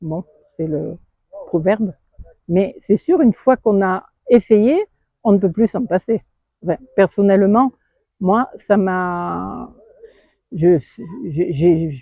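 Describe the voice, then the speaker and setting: The pace is very slow. Long pauses come often. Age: 70s. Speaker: visually impaired tandem cyclist. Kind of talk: interview testimony. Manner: halting, many hesitations.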